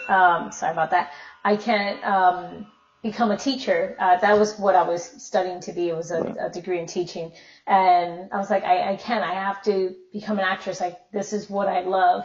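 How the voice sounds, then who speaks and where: At a moderate pace, a woman talks in a medium pitch with a somewhat breathy voice. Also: fairly even intonation. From Miami, Florida. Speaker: actress. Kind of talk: casual interview chat.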